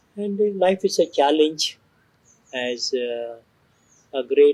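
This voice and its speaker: A man's fairly high voice with a dark, mellow tone, at a very slow pace. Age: 70s. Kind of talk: interview. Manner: hesitant with frequent fillers.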